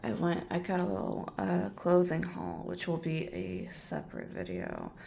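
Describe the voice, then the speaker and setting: Quiet speech at a fairly slow pace. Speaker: vlogger. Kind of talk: casual vlog. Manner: quiet, hushed.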